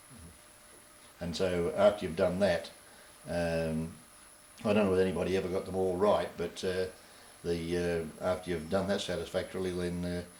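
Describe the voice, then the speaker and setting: At a moderate pace, a man talks in a very deep, low pitch with monotone, flat intonation. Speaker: war veteran. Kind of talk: interview answer. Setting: old VHS dub.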